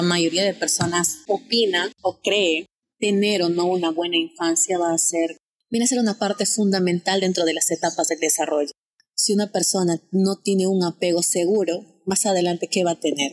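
The woman talks at a fairly quick pace with a fairly low pitch and very even loudness. The sound is dry and close, with no echo. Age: 20s. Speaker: psychology student intern. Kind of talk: interview. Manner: animated.

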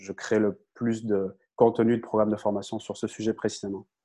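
A man's flat, monotone voice at medium pitch against a quiet background. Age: 30s. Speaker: content creator and communication coach. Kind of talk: interview.

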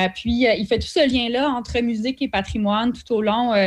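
A woman with an unremarkable speaking voice and fairly even intonation. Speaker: cultural events producer. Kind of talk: radio interview.

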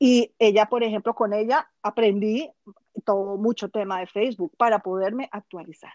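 A plain, everyday voice from a woman, fairly high in pitch with ordinary pitch variation, at a moderate pace, in a dry, close sound with no echo. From Colombia. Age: 50s. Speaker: international trade consultant. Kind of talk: interview.

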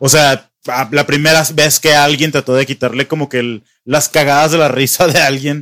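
With a Mexican accent, a man speaks in a fairly high voice with a bright, sharp tone. His intonation is monotone and flat, and the sound is dry and close with no echo. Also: moderate pace. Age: 20s. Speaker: podcast host. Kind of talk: casual chat.

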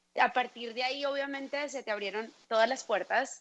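At a moderate pace, a woman with a plain, everyday voice talks at a fairly high pitch with ordinary pitch variation. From Colombia. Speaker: podcast host. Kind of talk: interview.

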